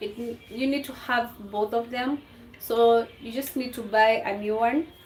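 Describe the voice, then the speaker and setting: A woman speaks at a high pitch with ordinary pitch variation and a fairly slow pace. Noticeable background noise is present. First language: a Kenyan language. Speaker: home cooking vlogger. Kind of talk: cooking tutorial livestream. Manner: casual, halting with fillers.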